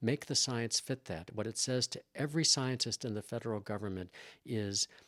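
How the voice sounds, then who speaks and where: A man with an American accent talks at a fairly quick pace and medium pitch in an ordinary speaking voice with ordinary pitch variation. The recording is very clean and dry, with a silent background and no echo. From US Midwest, Chicago. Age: 60s. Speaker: scientist and former professor. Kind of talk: interview. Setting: in person. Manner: repetitive, restarting phrases.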